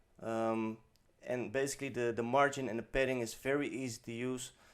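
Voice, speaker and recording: Medium-pitched male voice at a moderate pace with fairly even intonation. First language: not English. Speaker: web design tutorial creator. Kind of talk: tutorial. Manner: hesitant, many fillers; unscripted, off the top of head.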